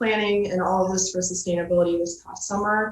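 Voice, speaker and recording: With a Midwestern US accent, a woman speaks at a medium pitch. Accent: US Midwest. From Michigan, Ann Arbor. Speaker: graduate student intern presenting. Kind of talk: presentation at a virtual meeting. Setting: video call.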